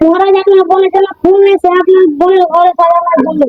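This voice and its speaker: A woman does a put-on character voice, squeaky and extremely high-pitched. She talks at a fairly quick pace with monotone, flat intonation and very even loudness. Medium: cartoon. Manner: servile.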